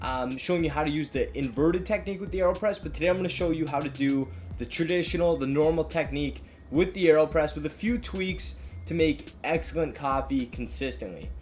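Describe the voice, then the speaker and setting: Faint music plays in the background as a man talks at a very fast pace. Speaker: coffee shop owner host. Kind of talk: tutorial. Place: home room.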